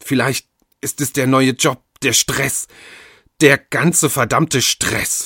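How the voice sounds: A man uses a put-on character voice at medium pitch, slow and fairly even in intonation, with a bright, sharp tone and a slightly husky edge. The sound is dry and close with no echo, and the recording is very clean over a silent background.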